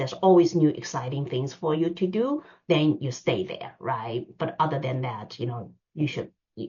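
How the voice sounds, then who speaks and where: A woman speaks at a moderate pace with a very deep, low pitch. Her voice is somewhat breathy, with ordinary pitch variation. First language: not English. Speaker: finance executive. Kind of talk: seminar talk. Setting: online seminar. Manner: hesitant, many fillers.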